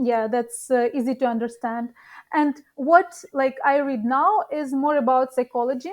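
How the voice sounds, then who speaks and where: Recorded very cleanly against a silent background, a woman with a high voice and a non-native accent speaks at a fairly slow pace. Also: ordinary pitch variation. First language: not English. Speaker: professional poker player. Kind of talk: interview. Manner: halting.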